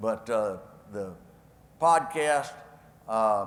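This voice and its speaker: A man speaks with a West Texas accent and ordinary pitch variation. There is audible room echo. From West Texas, Lubbock. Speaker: former politician and keynote speaker. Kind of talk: speech Q&A with anecdotes. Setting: stage with audience at a convention. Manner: folksy storytelling.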